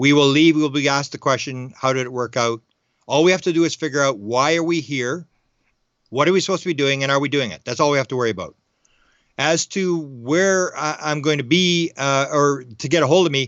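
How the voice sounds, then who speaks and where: A man's fairly high-pitched voice at a fairly quick pace, with ordinary pitch variation. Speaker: UFO researcher and author. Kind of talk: radio interview. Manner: very fast.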